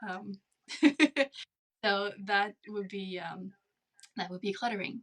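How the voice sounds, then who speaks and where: A woman with a French Canadian accent, medium pitch and ordinary pitch variation. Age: 30s. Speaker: speech-language pathologist. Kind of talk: interview. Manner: deliberately slowed, controlled.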